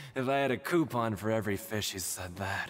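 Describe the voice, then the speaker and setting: A man's raspy put-on character voice at medium pitch, at a fairly quick pace. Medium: video game. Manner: wry, knowing, teasing.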